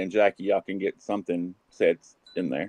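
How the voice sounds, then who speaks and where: In a Southern US accent, a man speaks at a fairly low pitch. His pitch variation is ordinary. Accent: Southern US drawl. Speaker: live stream chat guest. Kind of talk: casual chat. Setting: video call.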